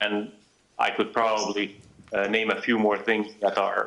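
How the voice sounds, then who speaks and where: A man's medium-pitched voice with a Hungarian accent, monotone and flat, at a moderate pace. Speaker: wine expert. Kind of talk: wine tasting talk. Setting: live video link. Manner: hesitant, many fillers.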